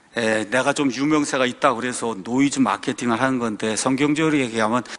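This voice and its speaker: A man delivers his words at a fairly quick pace, with noticeable background noise around him. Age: 60s. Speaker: pastor. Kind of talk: sermon-style talk. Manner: animated.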